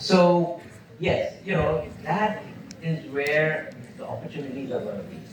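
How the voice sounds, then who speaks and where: Over noticeable background noise and audible room echo, a man talks at a moderate pace. His pitch is fairly high and his intonation lively. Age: 70s. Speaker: entrepreneur and entrepreneurship teacher. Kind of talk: lecture Q&A. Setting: university auditorium with audience.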